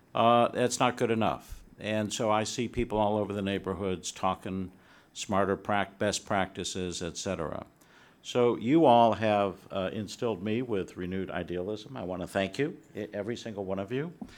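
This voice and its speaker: A man with an American accent, fairly low in pitch, with ordinary pitch variation, on a very clean recording with a silent background. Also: moderate pace. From US Midwest. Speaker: attorney. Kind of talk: audience discussion. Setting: seminar room with audience.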